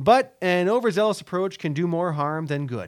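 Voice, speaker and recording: The recording is very clean, its background silent. An ordinary speaking voice goes at a fairly quick pace with lively intonation. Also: man. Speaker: real estate broker and radio show host. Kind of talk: radio show banter, advertising feature. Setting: radio studio. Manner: friendly, chatty, upbeat, with filler words.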